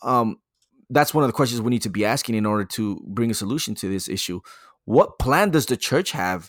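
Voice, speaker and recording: Medium-pitched man with an unremarkable speaking voice and lively intonation, at a fairly quick pace, on a very clean recording with a silent background. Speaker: podcast host. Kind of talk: casual podcast chat about church topics. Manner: casual, friendly.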